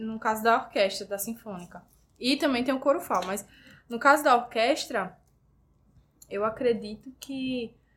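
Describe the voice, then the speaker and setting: In a very clean recording with a silent background, a woman speaks at a fairly slow pace and fairly high pitch, with ordinary pitch variation and long, frequent pauses. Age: 20s. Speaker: student and orchestra violinist. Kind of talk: interview.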